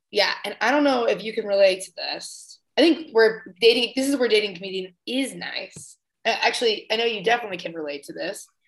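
A woman talks fairly quickly at a fairly high pitch in an ordinary speaking voice. Her intonation is lively, and her loudness swings widely. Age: 20s. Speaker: comedian. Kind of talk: casual chat. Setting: video call.

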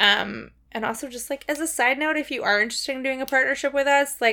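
In a raised, projected voice, a woman with an American accent speaks at a fairly quick pace. Her pitch is high with ordinary variation, and the recording is very clean with a silent background. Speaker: podcast co-host. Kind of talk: casual chat. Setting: in a bed, home recording.

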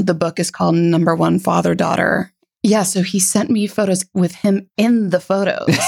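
Speaking at a moderate pace, a woman keeps a medium pitch with fairly even intonation, very even loudness and vocal fry. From US Florida. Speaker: gallery founder and director. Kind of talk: casual interview chat.

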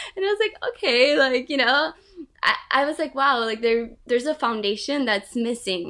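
The speaker uses a raised, projected voice at a moderate pace. The pitch swings very widely. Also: woman, high pitch for a woman. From Brazil. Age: 20s. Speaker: student and wellness blogger. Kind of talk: casual interview.

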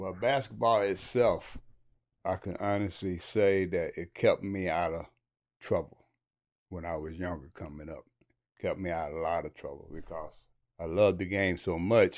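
The speech moves at a moderate pace with ordinary pitch variation, big swings in loudness, and long, frequent pauses. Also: man, very deep, low pitch for a man. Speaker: former basketball player and coach. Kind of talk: interview.

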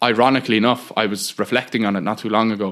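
Someone with a Cork accent talks at a fairly quick pace. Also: man. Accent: Cork Irish. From Bandon, County Cork, Ireland. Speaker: political activist. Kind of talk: interview conversation. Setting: squatted old building without electricity.

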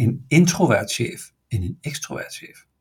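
A man's somewhat breathy voice comes through in a very clean recording with a silent background. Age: 50s. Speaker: enneagram expert and business owner. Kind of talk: podcast interview. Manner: halting, many hesitations.

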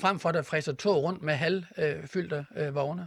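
A man is speaking. He talks at a very fast pace. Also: very clean recording, silent background. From Denmark, Horsens (East Jutland). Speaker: politician. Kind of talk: panel debate. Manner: halting, repeats words.

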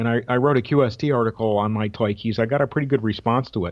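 An ordinary speaking voice from a man at medium pitch, with an American accent, ordinary pitch variation and a moderate pace. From Connecticut, Waterbury. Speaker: retired radio league executive and telegraph key collector. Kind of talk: radio interview.

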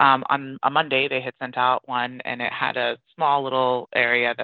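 A woman speaks with a very deep, low pitch and monotone, flat intonation. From Iran. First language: Persian. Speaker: airline safety staff and volunteer translator. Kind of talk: interview.

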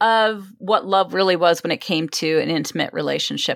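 In an American accent, a woman speaks at a fairly low pitch with ordinary pitch variation. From Southern California. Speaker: relationship coach. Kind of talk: interview. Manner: direct.

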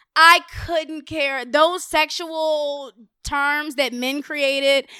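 Raised and projected, a woman's high-pitched voice with an American accent comes through a very clean recording with a silent background. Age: 20s. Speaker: rapper and podcaster. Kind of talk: casual chat.

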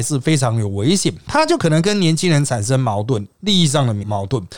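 A man talks with very wide pitch swings at a fairly quick pace. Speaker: political commentary podcast host. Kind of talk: solo commentary monologue.

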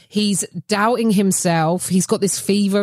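In a dry, close recording with no echo, a woman speaks with an English accent. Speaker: comedian. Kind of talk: casual chat. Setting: video call.

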